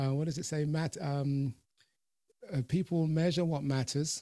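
Recorded with a dry, close sound and no echo, a man with a British accent speaks at a moderate pace. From UK, of Jamaican parents. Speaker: podcast host and personal development coach. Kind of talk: interview. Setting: video call.

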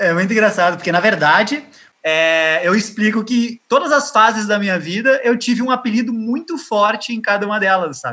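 A man's raised, projected voice, high-pitched with a bright, sharp tone, lively intonation and a moderate pace. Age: 30s. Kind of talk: interview. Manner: halting.

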